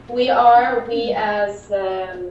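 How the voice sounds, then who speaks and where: Noticeable background noise behind a woman's voice pitched fairly high. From Syria. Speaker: activist. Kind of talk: political talk. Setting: remote call.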